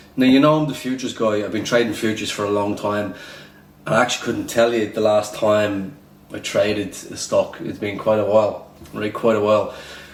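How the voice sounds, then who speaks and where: Someone speaks with an Irish accent and fairly even intonation. Noticeable background noise and audible room echo fill the recording. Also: man, fairly low pitch for a man. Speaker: day trader and trading educator. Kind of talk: casual vlog commentary. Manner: repetitive, filler-heavy.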